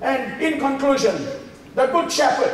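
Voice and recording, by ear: A man speaks at an extremely high pitch and a fairly slow pace. His intonation is lively, and the room echo is strong.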